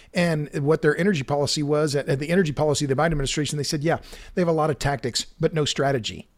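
On a very clean recording with a silent background, a man talks very fast in a Southern US accent. His pitch is fairly high. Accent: Southern US (Oklahoma). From Oklahoma. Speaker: energy author and podcaster. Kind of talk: interview.

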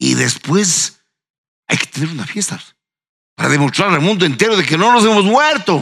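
A man speaks with a bright, sharp tone at a high pitch, his voice making very wide pitch swings. He keeps a moderate pace but leaves long, frequent pauses. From Ecuador, Ambato. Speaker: historian and university professor. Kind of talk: panel discussion.

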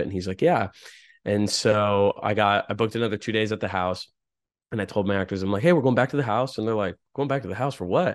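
Against a quiet background, a man with a fairly low voice speaks very fast with ordinary pitch variation. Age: 20s. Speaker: indie film director. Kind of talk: casual interview.

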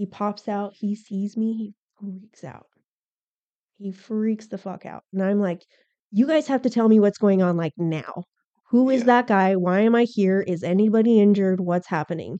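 Recorded dry and close with no echo, a woman speaks at a moderate pace and a medium pitch in a dark, mellow tone, with big swings in loudness. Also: ordinary pitch variation. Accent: American. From Arizona, Tucson. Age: 30s. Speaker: police officer. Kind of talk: casual chat.

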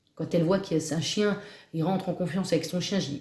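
A woman talks at a very fast pace in a medium-pitched, somewhat breathy voice. Her tone is dark and mellow, and her intonation stays fairly even. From Normandy, Cotentin. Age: 40s. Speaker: dog trainer. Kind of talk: interview. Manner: hesitant.

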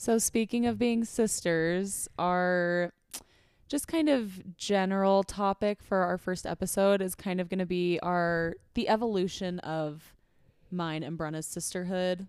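Using an ordinary speaking voice with an American accent, a woman talks at a fairly slow pace and a medium pitch with ordinary pitch variation. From Arizona. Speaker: podcast host and nurse. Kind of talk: casual chat.

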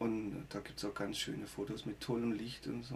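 At a moderate pace, a man talks in a medium pitch with vocal fry. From Germany, Baden (Gernsbach). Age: 50s. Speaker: musician. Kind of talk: casual interview.

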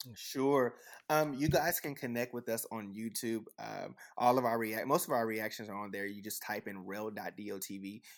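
In an American accent, a man with an ordinary speaking voice talks at medium pitch, with ordinary pitch variation and big swings in loudness. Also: moderate pace, very clean recording, silent background. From Texas. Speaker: YouTube music reactor. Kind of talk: casual interview chat.

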